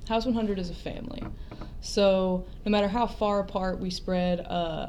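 A woman talks at a medium pitch. Audible room echo surrounds her voice. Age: young. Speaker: professional wrestler. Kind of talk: interview.

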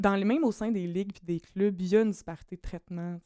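A woman with a Quebec accent, her dark, mellow tone at a medium pitch, fairly quick and fairly even in intonation, in a dry, close sound with no echo. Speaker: doctoral student in political science. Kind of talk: casual chat.

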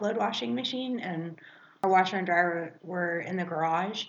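Delivery comes at a moderate pace with lively intonation. It is a normal speaking voice. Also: woman. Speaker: podcast co-host. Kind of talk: casual chat.

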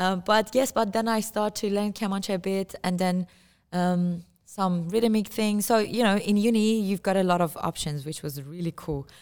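An Iranian accent with ordinary pitch variation. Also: woman. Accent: Iranian (Persian). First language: Persian. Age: 30s. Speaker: musician. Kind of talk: casual interview. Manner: halting, frequent repetitions.

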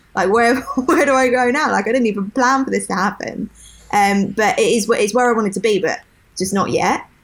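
Slightly breathy, a woman with a southern English accent speaks at a very fast pace. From southern England. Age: 20s. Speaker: podcast co-host. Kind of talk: casual chat.

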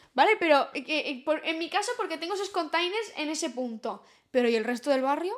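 With an extremely high pitch and very wide pitch swings, a woman speaks at a moderate pace. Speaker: podcast co-host. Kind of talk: casual chat.

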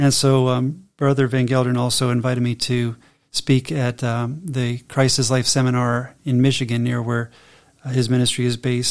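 With an American accent, a man speaks at a medium pitch and a moderate pace in a monotone, flat intonation. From US, mixed regions. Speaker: co-host, doctor and teacher.

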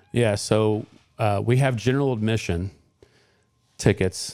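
With fairly even intonation, the man talks at a fairly slow pace. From Indiana, Johnson County. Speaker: firefighter and fundraiser organizer. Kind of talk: radio interview. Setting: studio.

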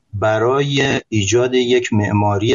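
A man talks at medium pitch. His voice is somewhat breathy. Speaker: IT company CEO. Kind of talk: live panel discussion.

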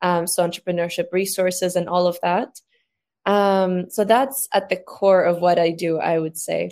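A woman with a Greek accent at medium pitch, moderate pace and fairly even intonation, on a very clean recording with a silent background. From Greece. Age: 20s. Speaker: social media agency founder. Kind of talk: panel discussion.

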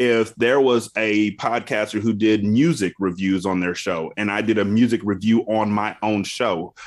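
Against a quiet background, a man speaks at a fairly slow pace with hardly any pauses and fairly even intonation. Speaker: podcaster and former radio host. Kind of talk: casual interview chat.

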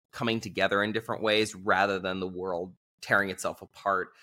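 A man with an American accent speaks in a bright, sharp tone on a very clean recording with a silent background. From Southern California. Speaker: author and diplomat. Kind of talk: casual interview chat. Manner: animated, joking.

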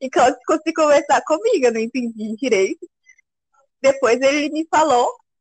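Recorded dry and close with no echo, a woman speaks in a high voice with lively intonation. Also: long, frequent pauses. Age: 20s. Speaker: café worker, host's girlfriend. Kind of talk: casual interview.

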